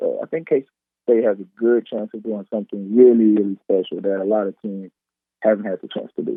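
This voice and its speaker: A man talks fairly quickly with an American accent in a fairly low pitch. His intonation stays fairly even while his loudness swings widely. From Texas. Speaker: professional football player. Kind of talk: radio interview.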